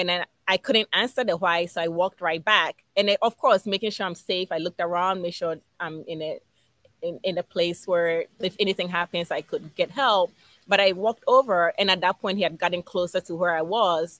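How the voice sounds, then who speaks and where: Bright and sharp in tone, the voice holds fairly even intonation, with dry sound, no echo and a quiet background. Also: woman. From Ghana. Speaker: behavior analyst and business owner. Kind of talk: casual interview. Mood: warm, reflective.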